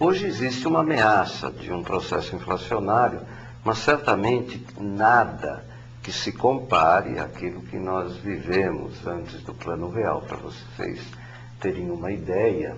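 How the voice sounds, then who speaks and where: A man speaks fairly slowly at a fairly low pitch, his pitch swinging very widely. Audible room echo surrounds his voice. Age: 60s. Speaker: economics professor. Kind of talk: interview. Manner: halting, many fillers.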